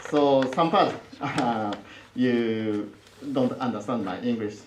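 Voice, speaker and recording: A man's medium-pitched voice in a strong Japanese accent, very slow, with ordinary pitch variation, audible room echo and noticeable background noise. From Japan, Osaka. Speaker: professor. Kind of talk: lecture. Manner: halting, many fillers.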